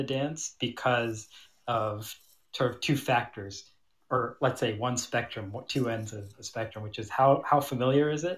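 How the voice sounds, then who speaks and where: A somewhat breathy voice with an American accent and ordinary pitch variation, in a very clean recording with a silent background. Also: man. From US Midwest, Michigan (Troy). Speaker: tango dancer and DJ. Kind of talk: casual chat.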